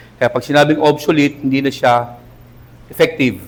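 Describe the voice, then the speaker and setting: A man speaks in an animated tone. His pitch sits fairly high. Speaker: pastor. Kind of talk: sermon.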